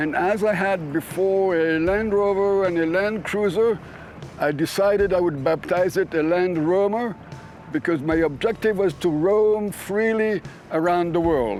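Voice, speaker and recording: Music plays in the background as a man with a high voice speaks at a fairly slow pace. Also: ordinary pitch variation, very even loudness. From Africa (Madagascar and elsewhere). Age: 70s. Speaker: world traveler showing his vehicle. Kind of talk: casual vehicle tour. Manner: hesitant with filler sounds.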